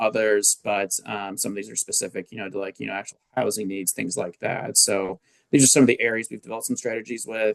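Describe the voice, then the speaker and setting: A man speaks at a very fast pace in a fairly low pitch, with fairly even intonation and a dry, close sound with no echo. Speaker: public health presenter. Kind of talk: presentation. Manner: frequent fillers (um, uh).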